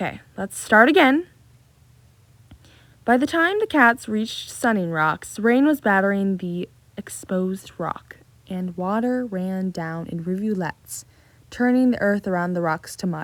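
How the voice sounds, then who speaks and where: The pace is fairly slow. Intonation stays lively throughout. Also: woman, medium pitch for a woman. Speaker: book series analysis video creator. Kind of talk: casual commentary with reading aloud. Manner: halting when reading, stumbles over words.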